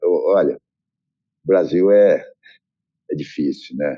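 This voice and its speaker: A man talks at a fairly slow pace. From Brazil, Minas Gerais (Triângulo Mineiro). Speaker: football coach. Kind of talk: interview, casual chat.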